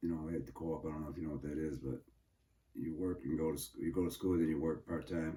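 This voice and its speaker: A man with an American accent talks at a very fast pace in a monotone, flat way. His pitch is very deep and low, his tone dark and mellow, and his voice somewhat breathy. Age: 70s. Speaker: interviewee, father of interviewer. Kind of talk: casual family interview.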